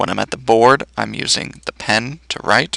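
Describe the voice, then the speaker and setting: The recording is dry and close with no echo, capturing a man's medium-pitched voice with vocal fry and a bright, sharp tone. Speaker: teacher. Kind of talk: tutorial. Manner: fast.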